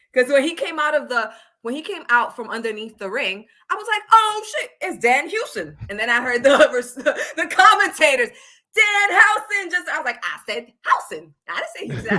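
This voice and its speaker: Raising and projecting her voice, a woman speaks fairly quickly in a bright, sharp, animated tone, her pitch swinging very widely. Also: big swings in loudness. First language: Spanish. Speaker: wrestling podcast host. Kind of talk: live stream wrestling chat.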